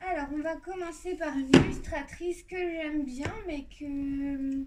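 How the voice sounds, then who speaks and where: Audible room echo surrounds a woman's voice. She has a high pitch and fairly even intonation. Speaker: YouTuber showing coloring book collection. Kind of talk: casual video presentation. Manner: hesitant, many fillers.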